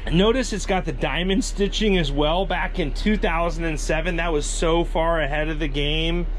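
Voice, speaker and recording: Light background noise sits behind a man talking at a fairly slow pace. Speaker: RV YouTuber. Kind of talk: casual walkthrough video. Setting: outdoors then inside an RV. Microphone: phone near.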